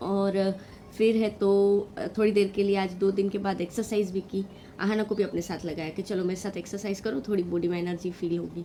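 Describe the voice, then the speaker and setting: A woman at medium pitch, monotone and flat, at a moderate pace. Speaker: vlogger and mother. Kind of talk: vlog voiceover. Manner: halting with fillers.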